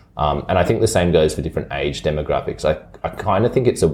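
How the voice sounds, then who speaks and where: A man with an Australian accent talks at a very fast pace in a very deep, low pitch with ordinary pitch variation. Noticeable background noise runs underneath. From Brisbane, Australia. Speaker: city councillor. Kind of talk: interview.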